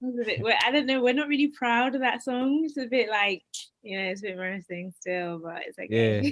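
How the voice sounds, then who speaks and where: Her pitch fairly high and her intonation lively, a woman talks at a fairly quick pace with big swings in loudness. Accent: London. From East London, England. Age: 20s. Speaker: dating podcast guest. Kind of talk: casual chat.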